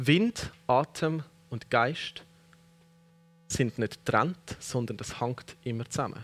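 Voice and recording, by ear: A man at a medium pitch, slow pace and ordinary pitch variation. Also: fairly bright tone.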